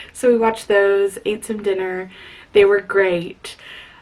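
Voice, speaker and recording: Noticeable background noise sits under a woman's voice with ordinary pitch variation. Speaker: book vlogger. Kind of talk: casual vlog. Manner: rambling, chatty.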